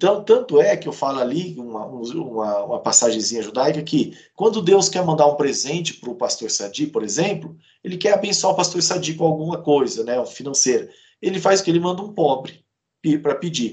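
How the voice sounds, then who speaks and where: A man with an ordinary speaking voice talks at a moderate pace. His pitch is fairly high and his intonation lively. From Brazil, Campo Grande, Mato Grosso do Sul. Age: 40s. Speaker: author and lawyer. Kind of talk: interview.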